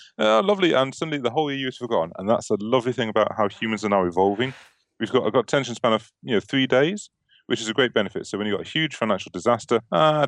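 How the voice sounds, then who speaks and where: In a British accent, a man at medium pitch talks very fast with ordinary pitch variation. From UK. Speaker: software company representative. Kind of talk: casual chat. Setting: studio.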